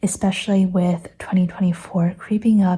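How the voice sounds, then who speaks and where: A woman speaks fairly slowly in a somewhat breathy, dark and mellow voice at a medium pitch, her intonation flat and monotone. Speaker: planner and journal creator. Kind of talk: casual talk to camera. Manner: hesitant, with pauses and stutters.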